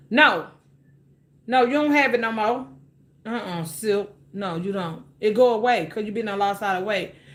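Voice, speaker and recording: With long, frequent pauses at a moderate pace, a woman speaks in a fairly high voice with ordinary pitch variation amid audible room echo. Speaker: cooking livestreamer. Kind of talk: casual livestream chat. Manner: loud; animated.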